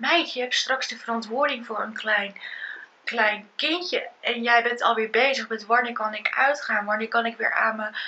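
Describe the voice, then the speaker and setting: Light background noise behind a moderately paced female speaker. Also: ordinary pitch variation. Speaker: vlogger. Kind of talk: casual vlog chat. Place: home room. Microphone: phone near.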